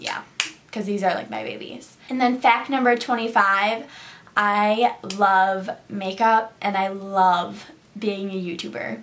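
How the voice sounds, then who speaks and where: Over light background noise, a woman with an American accent speaks at a very slow pace with big swings in loudness. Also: ordinary pitch variation. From Syracuse, New York; New York. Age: 20s. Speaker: beauty YouTuber; beauty vlogger. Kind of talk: casual vlog monologue. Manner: animated. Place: home room. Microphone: phone near.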